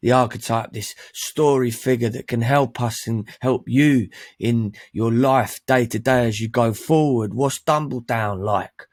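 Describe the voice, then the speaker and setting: With a London accent, this speaker talks at a very slow pace. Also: man. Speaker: men's life coach. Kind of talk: online training presentation. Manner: animated.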